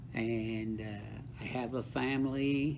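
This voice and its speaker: A man's voice with audible room echo. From South Texas, Rio Grande Valley (Brownsville). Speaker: author and counselor with doctorate. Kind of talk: interview.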